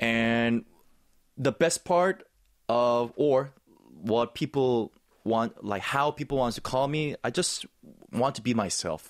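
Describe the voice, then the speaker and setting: A medium-pitched man at a very slow pace, with ordinary pitch variation and long, frequent pauses, over a quiet background. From South Korea. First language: Korean. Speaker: actor and snowboard commentator; interview guest, sports commentator. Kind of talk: interview. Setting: studio. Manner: enthusiastic. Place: studio. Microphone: studio mic.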